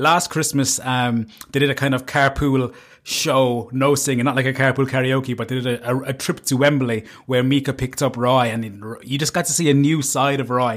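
A man's medium-pitched voice in a Cork accent at a fairly quick pace, on a very clean recording with a silent background. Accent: Cork Irish. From Ireland, Cork. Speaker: podcast host. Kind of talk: casual monologue.

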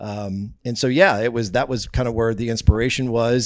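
In a normal speaking voice, a man with an American accent talks at a fairly quick pace and fairly low pitch with fairly even intonation, on a very clean recording with a silent background. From US Midwest, northeast Kansas. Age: 40s. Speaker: radio host. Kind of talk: casual chat. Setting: studio.

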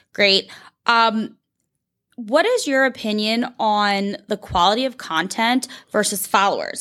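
A woman's fairly high, bright, sharp voice with an animated tone, ordinary pitch variation, and a fairly slow pace on a very clean recording with a silent background. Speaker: real estate agent podcast host. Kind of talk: casual chat.

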